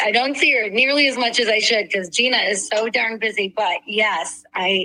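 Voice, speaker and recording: Using a normal speaking voice, a woman talks at a moderate pace in a fairly high pitch, with ordinary pitch variation and very even loudness. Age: 60s. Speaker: humanitarian director and speaker. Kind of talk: interview.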